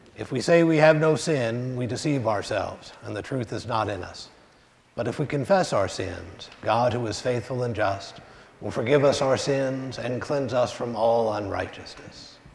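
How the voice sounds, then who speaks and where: With audible room echo, a man talks at a moderate pace and with ordinary pitch variation. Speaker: pastor leading worship. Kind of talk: liturgy. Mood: solemn, measured. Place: church.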